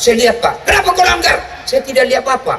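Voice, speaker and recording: A man with a South Sulawesi accent talks very fast in a raised, projected voice, his energetic delivery swinging very widely in pitch. Noticeable background noise runs beneath him. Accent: Bugis Makassar. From Makassar, Indonesia. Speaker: Islamic preacher. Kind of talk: humorous religious sermon to a large crowd. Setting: outdoors, mosque courtyard PA. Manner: lively, energetic, joking.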